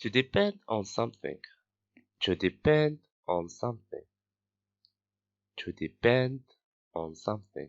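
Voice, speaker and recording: The voice moves at a very slow pace while the pitch swings very widely. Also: man. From Morocco, Casablanca. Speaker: English teacher. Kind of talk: vocabulary drill, words repeated three times. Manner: slow, clear.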